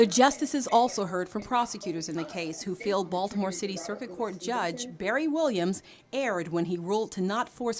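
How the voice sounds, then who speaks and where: A woman with an ordinary speaking voice talks in a medium pitch with lively intonation. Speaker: TV news anchor and reporter. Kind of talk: TV news anchor and reporter delivery.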